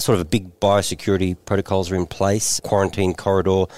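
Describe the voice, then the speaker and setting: At a moderate pace, a man speaks with a dry, close sound and no echo. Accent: Australian. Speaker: former tennis player and TV presenter. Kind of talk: casual chat.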